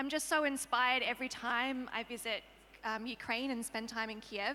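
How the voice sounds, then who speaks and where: A woman with an Australian accent speaks at a moderate pace in a fairly high pitch. Her intonation is monotone and flat. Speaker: open data expert, panel guest. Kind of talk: panel discussion. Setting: conference stage with audience.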